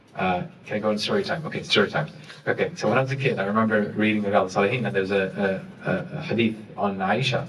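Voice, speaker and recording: Amid audible room echo, a man with a fairly low pitch speaks at a very fast pace with lively intonation. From Saudi Arabia and East London, UK. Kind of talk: panel discussion. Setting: university event with audience.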